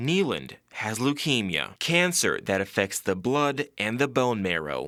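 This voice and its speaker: Here a man talks at a fairly slow pace with a medium pitch, very wide pitch swings and vocal fry. His tone is bright and sharp, on a very clean recording with a silent background. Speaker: sports reporter and anchor. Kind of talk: TV sports anchor and game commentary, feature story narration.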